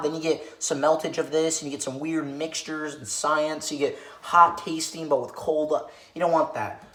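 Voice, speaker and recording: With noticeable background noise behind it, the talking runs at a fairly quick pace. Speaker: comedy YouTuber. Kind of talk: parody tutorial. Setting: home kitchen. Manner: hesitant, filler-heavy; soft-spoken.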